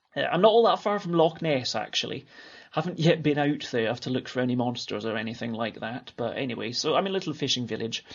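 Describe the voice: A man with a Scottish accent, medium pitch, vocal fry, lively intonation and a fast pace.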